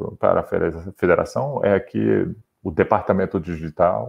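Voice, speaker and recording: A man talks at a fairly slow pace. He has a slight non-native accent. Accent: slight foreign accent in Portuguese. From Brazil. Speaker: sports federation digital head. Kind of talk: interview. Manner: halting, many repetitions.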